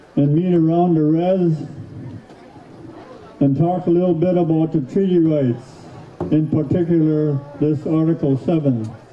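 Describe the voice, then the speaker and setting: Noticeable background noise sits behind a man with a fairly high pitch. His fairly slow delivery has fairly even intonation, very even loudness and long, frequent pauses. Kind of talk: public speech at powwow. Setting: outdoors, PA system.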